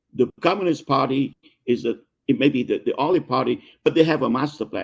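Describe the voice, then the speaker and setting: Speaking at a fairly quick pace in a Vietnamese accent, a man uses a fairly high pitch with ordinary pitch variation. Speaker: business consultant and author. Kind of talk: interview. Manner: halting, many repetitions.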